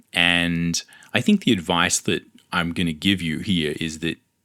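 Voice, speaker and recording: An Australian accent from a man with a very deep, low pitch and a bright, sharp tone, on a very clean recording with a silent background. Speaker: comic book artist. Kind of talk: podcast monologue.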